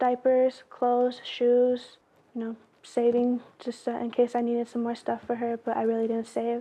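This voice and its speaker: A woman's high-pitched, dark, mellow voice with monotone, flat intonation. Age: young. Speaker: litigant defendant. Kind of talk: courtroom testimony. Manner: fast.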